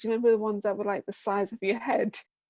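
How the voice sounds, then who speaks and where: The sound is dry and close with no echo as a woman with a British accent speaks at a fairly high pitch. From England. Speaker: business founder. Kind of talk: podcast interview.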